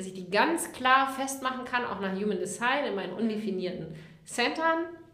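The room echo can be heard. Noticeable background noise is also there. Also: woman. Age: 40s. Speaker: life coach. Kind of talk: interview.

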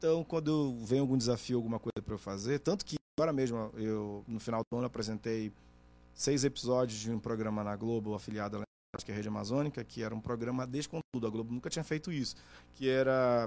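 Here a man with a normal speaking voice talks at a fairly quick pace. His pitch is medium, with ordinary variation. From Brazil, Pará (Oriximiná), moved to Manaus at 15. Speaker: journalist and TV interviewer. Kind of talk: casual chat.

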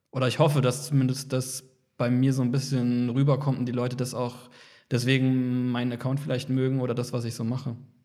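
Audible room echo fills the space. Within it, a man talks in a dark, mellow tone. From Kaiserslautern, Palatinate, Germany. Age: 30s. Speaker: photographer. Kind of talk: casual interview chat.

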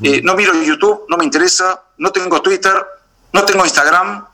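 A man talks at a fairly quick pace with a high pitch and very wide pitch swings. Noticeable background noise runs beneath him. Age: 50s. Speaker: beekeeper. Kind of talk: interview. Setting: video call. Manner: halting, with repetitions and fillers.

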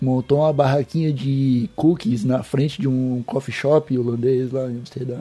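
A man talks with hardly any pauses against noticeable background noise. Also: medium pitch for a man, fairly even intonation, moderate pace. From Santa Catarina, Brazil (Palhoça). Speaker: cannabis podcast host. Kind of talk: casual chat.

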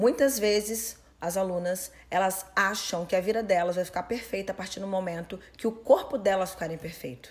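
This woman talks at a moderate pace with hardly any pauses, at a medium pitch with ordinary variation. Noticeable background noise sits behind her. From Brazil. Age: 30s. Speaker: personal trainer and coach. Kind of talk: interview.

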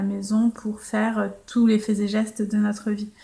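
Her voice somewhat breathy, the woman moves through her words at a fairly slow pace. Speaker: life coach and blogger. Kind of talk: solo podcast monologue. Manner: casual, with frequent hesitations.

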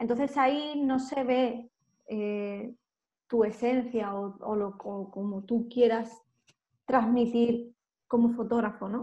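Her pitch is fairly high and her tone dark and mellow, with fairly even intonation. This woman speaks at a very slow pace with long, frequent pauses. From Andalusia, Málaga. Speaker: fashion photographer. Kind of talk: interview.

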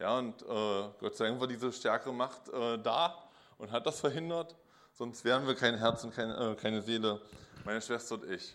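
A man at a medium pitch and moderate pace. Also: ordinary pitch variation. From Magdeburg, eastern Germany (former GDR). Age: 40s. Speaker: speaker giving life testimony. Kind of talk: testimony. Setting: stage with audience in a pub. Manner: casual, hesitant with many fillers.

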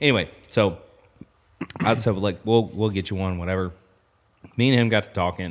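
A moderate pace broken by long, frequent pauses. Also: man, fairly low pitch for a man, ordinary pitch variation. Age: 30s. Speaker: apparel company owner. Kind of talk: casual chat.

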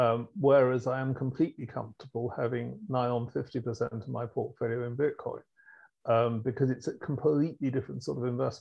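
A man with a British accent speaks at a fairly quick pace, his voice somewhat breathy and his intonation fairly even. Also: medium pitch for a man. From England. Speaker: fund manager. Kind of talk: casual chat.

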